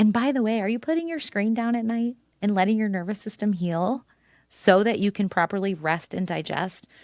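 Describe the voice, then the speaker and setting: An animated woman speaks at a very fast pace, her medium pitch making very wide swings. The recording is very clean, with a silent background. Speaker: functional medicine provider. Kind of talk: podcast interview.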